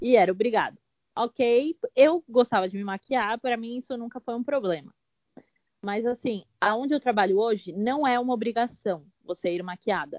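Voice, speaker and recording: An unremarkable speaking voice moves at a moderate pace with ordinary pitch variation and big swings in loudness. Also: woman, fairly high pitch for a woman. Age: 20s. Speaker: fashion stylist assistant. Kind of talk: casual chat.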